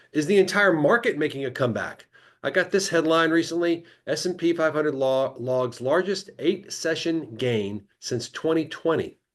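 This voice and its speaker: A man talks with ordinary pitch variation and a fairly high pitch. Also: quiet background. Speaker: financial research webinar host. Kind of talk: live webinar presentation. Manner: fast.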